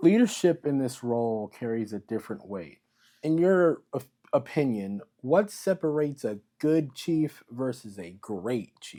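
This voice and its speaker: On a very clean recording with a silent background, a man with a medium-pitched, dark, mellow tone speaks fairly slowly, with very wide pitch swings and big swings in loudness. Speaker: interviewer, series host. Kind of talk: interview question.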